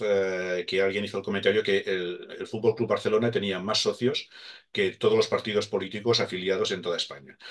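With a quiet background, a man delivers his words at a moderate pace. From Catalonia. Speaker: motorhome website founder; interview guest. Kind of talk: casual interview. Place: home room. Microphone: webcam.

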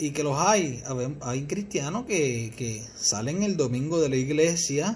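Speaking at a fairly slow pace with a Puerto Rican accent, a man sounds somewhat breathy, his pitch swinging very widely over light background noise. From Puerto Rico, Mayagüez; Puerto Rico. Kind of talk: religious teaching talk. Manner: halting, repeats words. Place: home room. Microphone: phone near.

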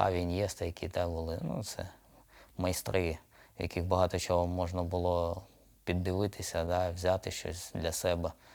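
On a very clean recording with a silent background, a man speaks at a very deep, low pitch. His delivery is fairly slow and flat, with monotone intonation. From Odesa, Ukraine. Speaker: professional footballer, midfielder. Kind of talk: casual interview. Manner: halting, many fillers.

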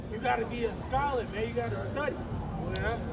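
A man talks over crowd noise in the background. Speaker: street preacher. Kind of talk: street preaching. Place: street. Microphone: camera far.

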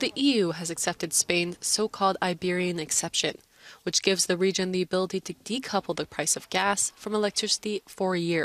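In a normal speaking voice, a woman with a medium pitch speaks at a fairly quick pace and fairly even intonation. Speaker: news anchor. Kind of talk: news bulletin reading, crisp headline delivery. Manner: brisk, even-paced, neutral newsreader tone.

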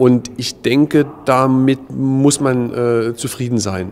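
This man speaks in a flat monotone. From East Germany. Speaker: contemporary witness, former political prisoner; witness. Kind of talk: interview. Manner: halting, many filler sounds. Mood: calm, reflective. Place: hall.

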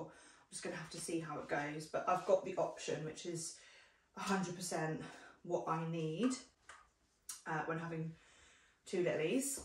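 A woman's voice amid audible room echo. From UK. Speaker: parenting vlogger. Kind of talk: casual vlog review. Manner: chatty, friendly. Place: home room. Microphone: camera far.

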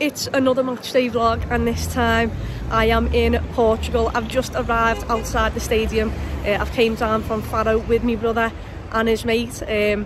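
A woman talks at a moderate pace. The sound is dry with no echo, with noticeable background noise. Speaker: football fan vlogger. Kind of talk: casual vlog chat. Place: street. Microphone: phone near.

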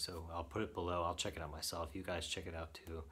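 The voice moves at a fairly quick pace with a bright, sharp tone. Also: man. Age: 30s. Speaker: beard product reviewer. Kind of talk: product review monologue. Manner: casual with frequent fillers. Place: home room. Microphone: phone near.

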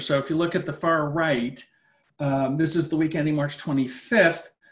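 A man's fairly high voice at a moderate pace, with fairly even intonation and a quiet background. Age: 50s. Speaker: finance professor. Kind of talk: webinar lecture with Q&A. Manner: halting, repeats words. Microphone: webcam.

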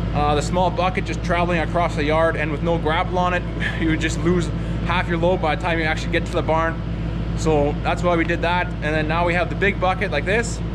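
A man talks at a very fast pace. Loud background noise fills the recording. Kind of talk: casual vlog chat. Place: farm machine. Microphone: phone near.

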